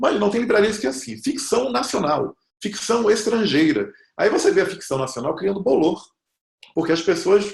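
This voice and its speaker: This man talks at a moderate pace in a high voice, animated, with very wide pitch swings. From Brazil, Bahia. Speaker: fantasy writer. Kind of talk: talk on literary creation. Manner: animated storytelling.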